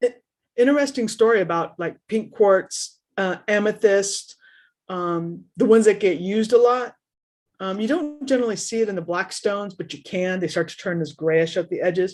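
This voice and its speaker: Against a quiet background, a woman in a Californian accent speaks at a moderate pace and medium pitch, with ordinary pitch variation and big swings in loudness. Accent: California. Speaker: paranormal show co-host. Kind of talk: casual chat.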